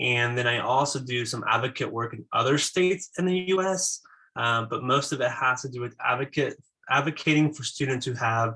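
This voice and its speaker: At a moderate pace, a man speaks at medium pitch with ordinary pitch variation and a bright, sharp tone. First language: Spanish. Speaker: school psychologist. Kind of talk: conference presentation. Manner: hesitant, many filler words.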